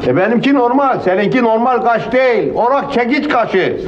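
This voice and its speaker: This is a man speaking at a moderate pace. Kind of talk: comic acted dialogue.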